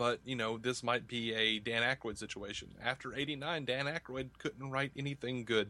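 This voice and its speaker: In an Alabama accent, a man with a bright, sharp tone talks at a moderate pace with hardly any pauses and fairly even intonation. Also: medium pitch for a man. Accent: Southern US (Alabama). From US South, Montgomery, Alabama. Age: 30s. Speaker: podcaster and YouTuber. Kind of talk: casual interview.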